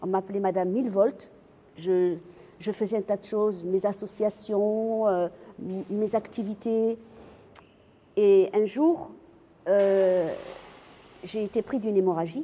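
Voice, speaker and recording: At a very slow pace with long, frequent pauses, a woman speaks in a medium pitch with a dark, mellow tone and fairly even intonation. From France. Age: 60s. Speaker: cancer patient and animal welfare activist. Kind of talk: testimony. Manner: halting, with repetitions and fillers.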